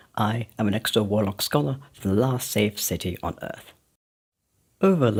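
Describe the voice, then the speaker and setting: With lively intonation, a man talks at a moderate pace in a somewhat breathy voice. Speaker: video game lore narrator. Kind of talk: in-character documentary narration. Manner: formal, explanatory.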